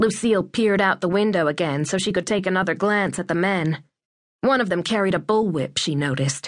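Against a quiet background, a text is read aloud in a natural voice whose pitch varies in an ordinary way.

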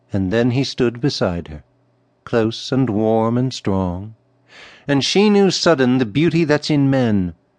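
A man at a medium pitch and fairly slow pace, lively in intonation, an ordinary speaking voice over a quiet background. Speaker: audiobook narrator. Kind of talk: poetry reading aloud, audiobook narration. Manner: measured, lyrical, expressive narration.

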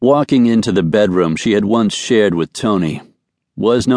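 The background is quiet as the text is read aloud in a natural voice whose intonation is lively.

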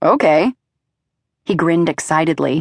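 A woman's fairly low-pitched voice at a fairly slow pace, in a dry, close sound with no echo. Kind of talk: audiobook narration. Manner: smooth, even storytelling pace that shifts into quoted dialogue.

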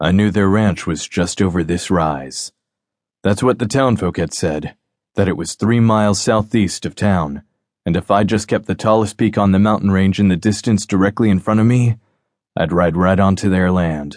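Over a quiet background, a man with an ordinary speaking voice talks at a moderate pace in a fairly low pitch with ordinary pitch variation. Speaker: audiobook narrator. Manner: gravelly, world-weary and grim; measured, tense pacing with a hard-edged, brooding tone.

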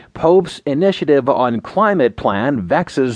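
Over a quiet background, a man with a plain, everyday voice speaks at a fairly slow pace and fairly high pitch with lively intonation, in a dry, close sound with no echo. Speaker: news narrator. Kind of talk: news reading, scripted digest of headlines and articles. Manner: formal, even-paced, neutral; steady, measured delivery without emotion.

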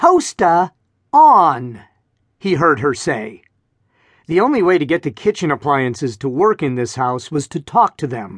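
A man's animated, dramatic voice at a fairly high pitch and fairly slow pace, with very wide pitch swings, a dry, close sound with no echo and a quiet background. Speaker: audiobook narrator. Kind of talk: audiobook narration of a children's adventure story, read aloud with character voices. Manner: animated, brisk and dramatic, with comic emphasis and exaggerated yelps; energetic, playful storyteller pace, suspenseful with mock-serious humor.

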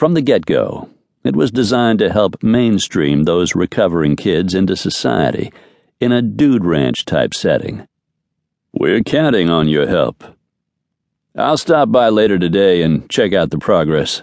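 A man speaks at a fairly slow pace with vocal fry and very wide pitch swings. His loudness stays very even. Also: fairly low pitch for a man. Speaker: audiobook narrator. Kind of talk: audiobook narration of a romance novel, dramatic, with character dialogue.

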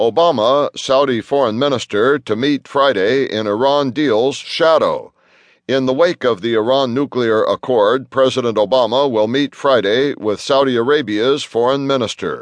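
An ordinary speaking voice comes from a man at a medium pitch, moving at a moderate pace with ordinary pitch variation and very even loudness. The sound is dry and close with no echo, over a quiet background. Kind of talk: news reading. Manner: formal, even and businesslike, headline-style delivery; brisk, steady, neutral pace.

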